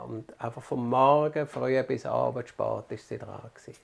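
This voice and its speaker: A man with a medium-pitched voice speaks at a very slow pace. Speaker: retired doctor, neighbour. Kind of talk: interview testimony.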